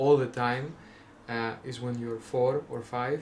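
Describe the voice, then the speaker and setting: A man with a Greek accent speaks at a very slow pace. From Greece. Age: 20s. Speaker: vlogger. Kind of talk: casual monologue. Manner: halting, many fillers.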